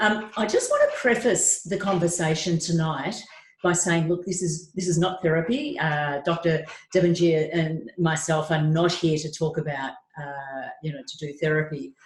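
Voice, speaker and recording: A fairly low female voice at a moderate pace, with ordinary pitch variation. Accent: Australian. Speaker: trauma psychologist. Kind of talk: webinar talk.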